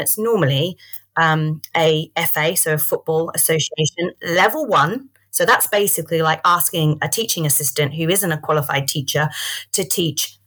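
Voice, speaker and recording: A woman with an Australian accent, fairly low pitch, ordinary pitch variation and a moderate pace. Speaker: early years sports entrepreneur and athlete. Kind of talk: educational interview.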